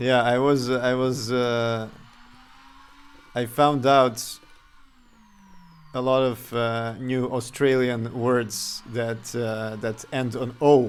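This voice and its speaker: In a slight Serbian accent, a man speaks monotone with flat intonation at medium pitch, at a very slow pace with long, frequent pauses. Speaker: game developer streamer. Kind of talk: live game dev stream. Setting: live stream. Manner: halting.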